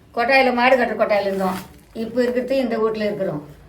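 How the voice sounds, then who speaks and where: A woman's fairly high pitch, ordinary pitch variation and noticeable background noise. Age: 80s+. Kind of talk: interview answer.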